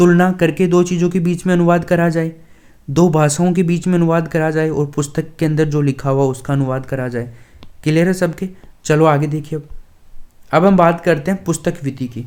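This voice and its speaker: A man's fairly high-pitched voice, fairly even in intonation, at a moderate pace. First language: Dhundhari (speaking Hindi). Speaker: online exam-prep teacher. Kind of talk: lecture.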